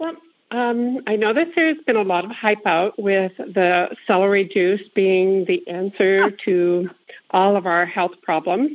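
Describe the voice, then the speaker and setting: Lively intonation at a fairly slow pace, in a normal speaking voice. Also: woman, medium pitch for a woman. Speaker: caller. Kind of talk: casual chat.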